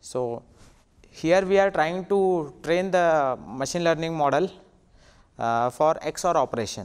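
With an Indian accent, a man talks at a fairly slow pace in a fairly high pitch, with ordinary pitch variation against a quiet background. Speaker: assistant professor. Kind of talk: conference talk. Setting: stage with audience. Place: hall. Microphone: handheld.

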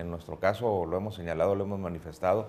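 Fairly even intonation over light background noise. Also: man. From Mexico, Tijuana; Mexico. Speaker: political candidate; candidate. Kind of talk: radio interview. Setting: studio. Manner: formal. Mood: calm, measured political talk. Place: studio. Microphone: lapel.

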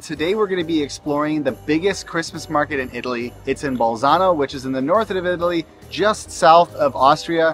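Faint music plays in the background as a man talks at a very fast pace. The sound is dry with no echo, and his pitch variation is ordinary. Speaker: travel vlogger. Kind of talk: casual vlog chat. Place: market. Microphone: phone near.

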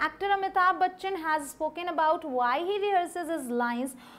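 At a fairly slow pace, a woman speaks in an extremely high pitch with ordinary pitch variation. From India. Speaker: English teacher. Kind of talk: tutorial. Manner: animated. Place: studio.

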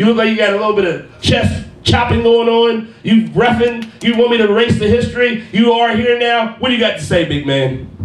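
Amid audible room echo, a man talks at a fairly quick pace with hardly any pauses in an extremely high voice with ordinary pitch variation. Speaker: wrestling ring announcer. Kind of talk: wrestling promo, hyping a tournament match. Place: studio.

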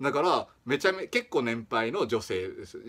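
A man is speaking. He has a Kagoshima accent. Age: 30s. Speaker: small-channel vlogger. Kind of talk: casual talk to camera. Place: home room. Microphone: phone near.

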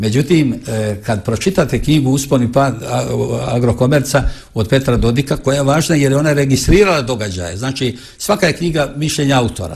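Somewhat breathy, this man's voice moves along at a fairly quick clip. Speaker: interview guest. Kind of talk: interview answer. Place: home room. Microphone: lapel.

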